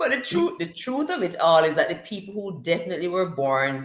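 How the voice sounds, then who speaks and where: A woman with a fairly low voice speaks in a Jamaican accent. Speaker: livestream host. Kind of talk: casual chat. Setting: live stream with chat. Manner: animated.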